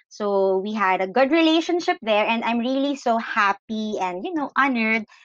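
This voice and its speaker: A woman with a Filipino accent and lively intonation at a moderate pace, in a dry, close sound with no echo and a quiet background. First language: Tagalog. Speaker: podcast host. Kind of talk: casual interview. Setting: video call.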